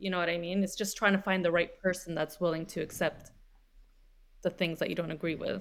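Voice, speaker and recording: Speaking at a fairly quick pace, a woman uses a fairly low pitch and a monotone, flat intonation. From Lebanese family. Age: 30s. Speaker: social media creator, single mother. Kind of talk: casual chat.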